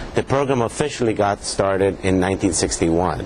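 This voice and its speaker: Noticeable background noise sits behind a man speaking in a fairly low pitch. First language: Spanish. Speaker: pathologist, professor. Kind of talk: interview. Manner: halting, many fillers.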